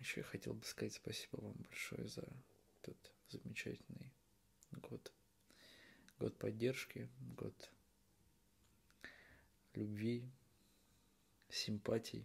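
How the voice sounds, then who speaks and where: Whispering and soft-spoken, a man goes at a very slow pace with long, frequent pauses. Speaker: video blogger. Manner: soft, close ASMR whisper. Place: home room. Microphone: camera far.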